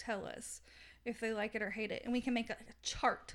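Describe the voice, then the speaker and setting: A woman's fairly high voice in a Southern US accent. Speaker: podcast host, book reviewer. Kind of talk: casual chat, book discussion.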